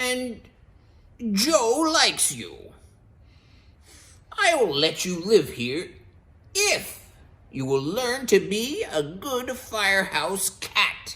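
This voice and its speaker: Someone puts on a character voice at a fairly high pitch. The delivery is very slow, with long, frequent pauses. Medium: read story.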